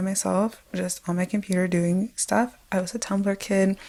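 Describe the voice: Soft-spoken and with vocal fry, a woman with a medium pitch and a slightly mellow tone talks at a moderate pace with fairly even intonation.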